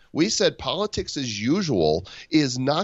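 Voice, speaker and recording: The voice carries vocal fry and very wide pitch swings. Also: man. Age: 50s. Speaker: online marketing author and speaker. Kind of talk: casual chat. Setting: Skype call.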